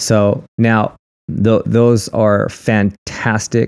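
This man's voice sits at a fairly low pitch. The recording is very clean, and the background is silent. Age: 40s. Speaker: inspirational speaker. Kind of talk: casual chat. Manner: animated.

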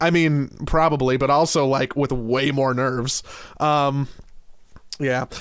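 Fairly high-pitched and fairly slow, a man speaks with monotone, flat intonation, very even loudness, and long, frequent pauses. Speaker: esports podcast co-host. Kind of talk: casual chat.

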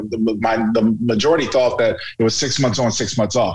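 A man's medium-pitched voice moves at a fairly quick pace, with noticeable background noise behind it. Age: 50s. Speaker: radio analyst, former football player. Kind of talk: casual interview.

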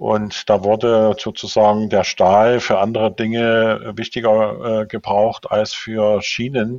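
Speaking at a very slow pace with hardly any pauses, a man keeps a fairly low, monotone, flat delivery at very even loudness. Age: 60s. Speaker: public transport engineer and manager. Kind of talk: interview. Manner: hesitant, frequent fillers.

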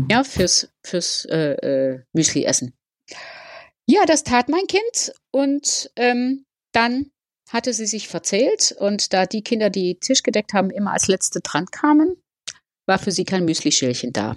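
A woman talks at a very slow pace, her fairly high pitch moving in very wide pitch swings. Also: dry, close sound with no echo. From Netherlands. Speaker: nurse, former anthroposophist. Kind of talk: interview about life story. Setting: remote call. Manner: halting, with many fillers.

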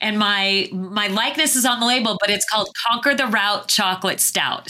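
A woman with an American accent speaks in a fairly high pitch with lively intonation while music plays in the background. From Arizona, US. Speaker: polar explorer and leadership speaker. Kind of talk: interview conversation.

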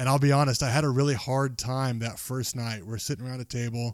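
The man's voice sits at a medium pitch, flat and monotone throughout. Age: 30s. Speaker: podcast host. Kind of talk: casual chat.

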